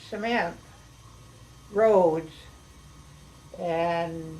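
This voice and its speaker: With an Upper Midwest accent, a woman speaks in a fairly low register. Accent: Upper Midwest American. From Clinton, Wisconsin. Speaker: local historical society founder. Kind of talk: oral history interview answer.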